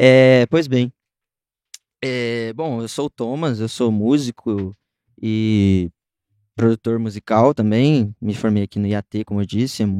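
Over a quiet background, a man of medium pitch speaks at a very slow pace with long, frequent pauses and ordinary pitch variation. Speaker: musician and music producer. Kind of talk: casual interview chat.

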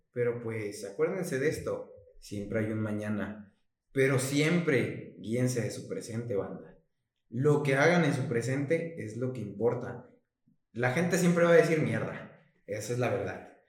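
A man's somewhat breathy voice carries audible room echo. He talks at a fairly slow pace with ordinary pitch variation. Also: medium pitch for a man. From Mexico, Chiapas. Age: 20s. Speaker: podcast co-host, student. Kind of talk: casual chat. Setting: late-night recording.

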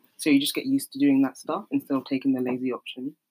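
With a South London accent, a woman speaks with ordinary pitch variation in a dry, close sound with no echo. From South East London. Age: 20s. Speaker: podcast co-host. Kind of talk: casual chat.

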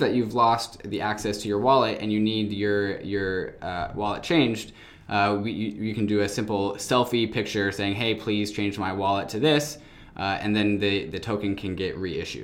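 Pitched fairly low, a man speaks at a moderate pace in a plain, everyday voice. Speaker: podcast host. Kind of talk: casual podcast interview.

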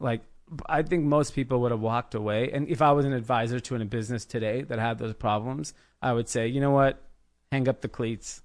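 Fairly quick, fairly even speech in a Southern California accent over a quiet background. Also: man, medium pitch for a man. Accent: General American (Southern California). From Granada Hills, Los Angeles. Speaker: clothing brand founder. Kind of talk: casual chat.

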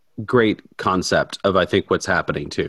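An ordinary speaking voice from a man, fairly low in pitch, with ordinary pitch variation at a fairly quick pace, on a very clean recording with a silent background. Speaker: Methodist minister working with college students.

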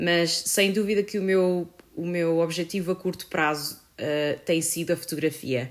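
The recording is very clean with a silent background, carrying an unremarkable speaking voice. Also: woman. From Portugal, Viseu. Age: 20s. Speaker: photographer and filmmaker. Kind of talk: casual chat.

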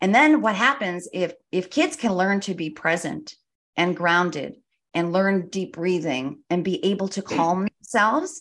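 A woman's medium-pitched voice with lively intonation, at a fairly slow pace, against a quiet background. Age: 60s. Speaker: retired educator and children's author. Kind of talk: podcast interview. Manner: animated.

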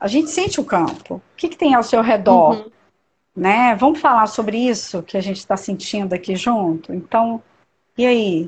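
Over a quiet background, a woman speaks with lively intonation and a somewhat breathy voice. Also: fairly high pitch for a woman, moderate pace. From Niterói, Rio de Janeiro state, Brazil. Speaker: doula and perinatal educator. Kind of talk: casual interview on a live stream.

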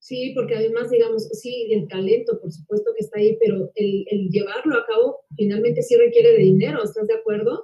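A woman's somewhat breathy voice at a fairly quick pace, with fairly even intonation. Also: fairly high pitch for a woman, hardly any pauses. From Mexico. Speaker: actress and interviewer. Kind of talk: casual interview.

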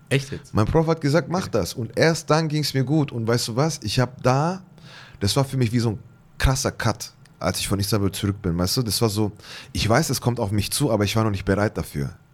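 A man has an unremarkable speaking voice at a medium pitch, with lively intonation and a fairly quick pace. The recording is very clean, with a silent background. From Bavarian Swabia, near Ulm (Germany). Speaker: artist. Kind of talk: interview.

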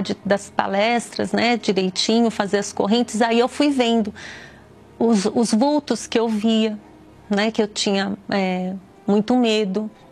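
A woman talks at a fairly slow pace with ordinary pitch variation, with noticeable background noise behind her. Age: 50s. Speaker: teacher giving a religious testimony. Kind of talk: testimony.

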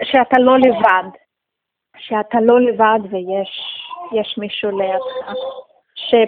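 A woman's fairly high voice with ordinary pitch variation, a very slow pace and long, frequent pauses. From Russia. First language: Russian (speaking Hebrew). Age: 30s. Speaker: community member, new immigrant. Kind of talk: interview. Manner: halting.

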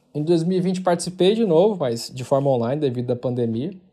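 A man's fairly high-pitched voice with a dark, mellow tone at a fairly quick pace. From Brazil, Goiás (Porangatu). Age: 30s. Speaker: tech company founder and CEO. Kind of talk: recorded monologue testimony.

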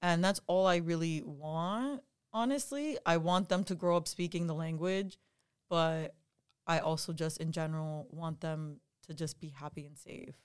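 A woman with an unremarkable speaking voice, fairly low in pitch, at a moderate pace, with ordinary pitch variation and big swings in loudness, in a very clean recording with a silent background. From Dominican Republic and US, Dominican-Argentine family. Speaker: university student podcast co-host. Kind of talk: casual chat.

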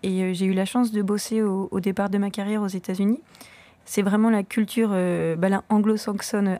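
A woman speaks fairly quickly at a medium pitch, her tone dark and mellow. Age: 30s. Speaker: shop co-founder. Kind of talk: casual interview.

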